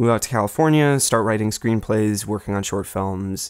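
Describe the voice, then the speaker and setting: On a very clean recording with a silent background, a man with an unremarkable speaking voice talks at a moderate pace in a fairly low pitch. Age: 20s. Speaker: film video essayist, channel owner. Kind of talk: unscripted casual update monologue. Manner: casual with many fillers and repetitions.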